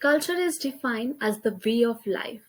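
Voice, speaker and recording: Speaking at a moderate pace with an Indian accent, a woman talks in a high voice. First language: Hindi. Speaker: college student. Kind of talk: class presentation. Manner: halting.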